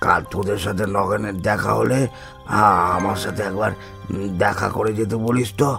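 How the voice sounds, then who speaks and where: Over clear background music, a man does a raspy, cartoonish character voice at a fairly low pitch and moderate pace, with fairly even intonation. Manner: slow, fretful, grandfatherly.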